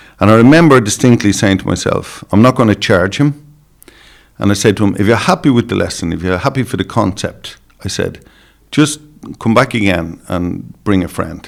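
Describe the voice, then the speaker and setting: Lively intonation and a fairly quick pace carry this speech, delivered with an Irish accent. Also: man, fairly low pitch for a man. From Ireland. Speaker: dog show judge and breeder. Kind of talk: podcast interview.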